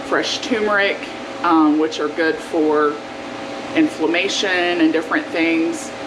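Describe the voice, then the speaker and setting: An American accent with audible room echo and noticeable background noise. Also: woman. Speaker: cooking vlogger. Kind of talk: cooking tutorial; casual chat. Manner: conversational, many fillers.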